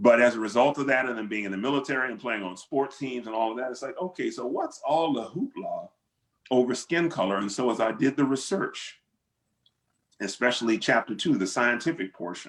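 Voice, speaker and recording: This man has a normal speaking voice, medium in pitch with ordinary variation, and talks at a fairly quick pace. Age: 60s. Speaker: pastor and author. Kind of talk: panel discussion Q and A. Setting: video call.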